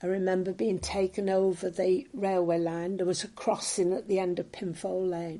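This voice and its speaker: A woman's dark, mellow voice at medium pitch, moderate in pace, with fairly even intonation and hardly any pauses. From northern England, Merseyside (Ainsdale, Sefton). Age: 80s+. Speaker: local elder recalling wartime memories. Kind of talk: oral history interview. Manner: hesitant, many fillers.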